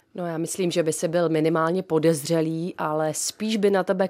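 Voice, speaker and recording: A woman speaks in a plain, everyday voice at a fairly low pitch and a fairly quick pace, with ordinary pitch variation. The sound is dry and close, with no echo. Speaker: radio host. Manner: lively, witty, theatrical.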